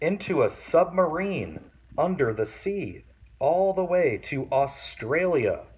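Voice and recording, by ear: A natural voice reading aloud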